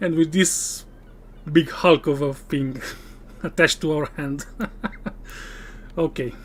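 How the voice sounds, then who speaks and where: This voice carries a non-native accent. It moves at a fairly slow pace. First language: not English. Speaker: gaming streamer. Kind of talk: live stream gameplay commentary. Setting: live stream.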